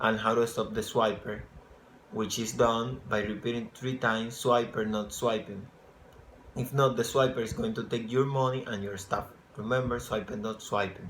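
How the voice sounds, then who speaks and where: Speaking in a Spanish accent, a man holds a medium pitch at a moderate pace. His intonation stays monotone and flat. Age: 20s. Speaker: English program applicant. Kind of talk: application video answering questions. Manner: halting.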